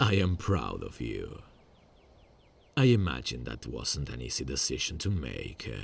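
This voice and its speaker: In a put-on character voice, a man speaks at a very deep, low pitch with very wide pitch swings, big swings in loudness, and long, frequent pauses. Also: moderate pace. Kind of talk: ASMR roleplay. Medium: solo performance. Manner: calm, controlled, quietly menacing.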